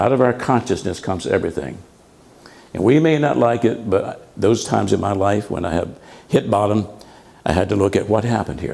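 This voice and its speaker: With audible room echo, a man with a fairly low pitch and a dark, mellow tone talks at a fairly quick pace broken by long, frequent pauses. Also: lively intonation. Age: 80s+. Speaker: minister. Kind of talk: sermon.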